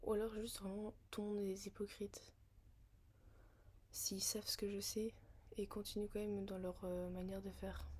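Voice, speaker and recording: A woman speaks in a monotone, flat delivery at a medium pitch, somewhat breathy, with long, frequent pauses. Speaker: vlogger. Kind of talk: casual monologue vlog. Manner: slow, hesitant with many fillers.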